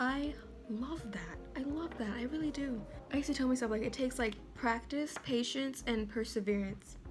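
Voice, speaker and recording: A soft-spoken woman's high voice with ordinary pitch variation, at a moderate pace. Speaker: artist. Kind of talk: casual talk to camera. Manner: quiet, soft-spoken.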